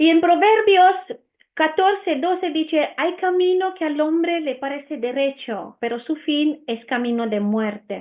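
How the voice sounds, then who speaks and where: In an Italian accent, a woman with an extremely high pitch talks at a fairly slow pace with lively intonation. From Romania. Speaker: Bible teacher. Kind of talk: Bible teaching. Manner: hesitant, many fillers.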